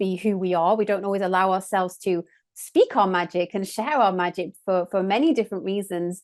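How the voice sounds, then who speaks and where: In an English accent, a woman speaks at a fairly quick pace with ordinary pitch variation. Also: medium pitch for a woman. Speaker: sound healer and trained opera singer. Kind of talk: casual chat.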